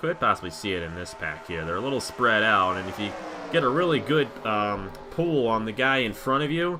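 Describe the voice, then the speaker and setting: With music in the background, the speaker goes at a fairly quick pace with very wide pitch swings. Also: man, medium pitch for a man. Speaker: sim racing commentator. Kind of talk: live commentary. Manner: fast.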